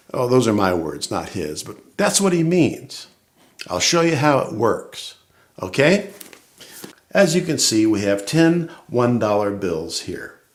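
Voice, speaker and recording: Speaking at a fairly slow pace, a man swings his pitch very widely, with audible room echo around him. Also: medium pitch for a man. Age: 60s. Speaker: church member giving testimony. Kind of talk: testimony. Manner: conversational, humorous.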